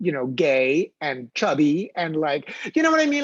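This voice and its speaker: Very wide pitch swings mark this man's voice, in a Filipino accent. The sound is dry and close, with no echo. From Philippines. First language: Filipino language. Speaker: theater artist. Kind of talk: panel discussion. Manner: halting.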